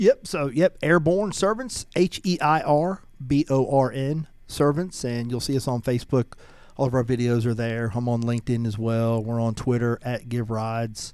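Using ordinary pitch variation, a man with a Southern US accent speaks at a moderate pace. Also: medium pitch for a man. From US South, Georgia. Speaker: nonprofit founder. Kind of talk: interview. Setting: radio studio.

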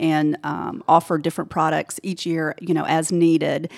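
A woman with an American accent, fairly low in pitch, at a moderate pace on a very clean recording with a silent background. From Georgia, US South. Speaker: insurance agency owner. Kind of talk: interview. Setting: studio.

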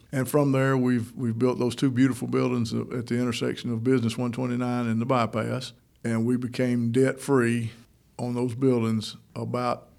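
A man at medium pitch and moderate pace, in a monotone, flat intonation. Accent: Georgia. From Northeast Georgia (Toccoa). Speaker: mayor. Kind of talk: radio interview. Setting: studio.

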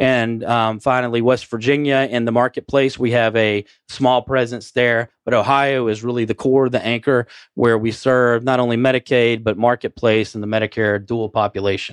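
A man speaks at a moderate pace in a medium pitch, with a dry, close sound and no echo. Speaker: healthcare executive. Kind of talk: interview. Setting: studio. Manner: animated.

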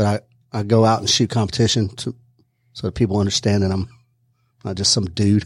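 A man speaks at a fairly low pitch in a monotone, flat intonation. His speech has long, frequent pauses on a very clean recording with a silent background. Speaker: retired army special forces soldier, shooting instructor. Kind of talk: casual interview. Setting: studio.

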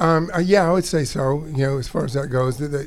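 A man with an unremarkable speaking voice talks at a fairly quick pace in a fairly high pitch with fairly even intonation. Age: 60s. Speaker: business owner. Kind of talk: casual interview.

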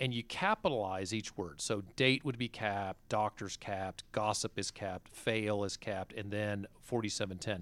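The recording is very clean with a silent background, and the sound is dry and close with no echo. A man speaks at a moderate pace with hardly any pauses. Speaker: radio host. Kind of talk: radio interview. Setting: studio.

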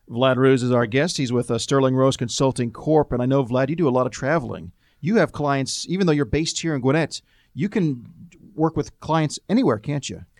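Recorded very cleanly against a silent background, a man talks at a fairly quick pace in a plain, everyday voice. His pitch is medium, with ordinary pitch variation. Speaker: radio host. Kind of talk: business radio interview. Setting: studio.

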